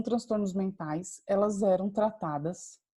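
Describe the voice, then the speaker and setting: A woman's somewhat breathy, dark and mellow voice, very slow in pace, with lively intonation. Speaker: university lecturer. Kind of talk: lecture. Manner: hesitant, many fillers.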